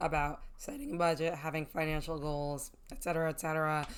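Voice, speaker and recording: Speaking at a moderate pace, a woman uses an unremarkable speaking voice with fairly even intonation. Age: 20s. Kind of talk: casual talk to camera.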